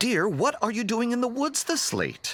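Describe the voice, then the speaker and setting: A man's put-on character voice at an extremely high pitch, with lively intonation, very even loudness and a moderate pace. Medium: read story.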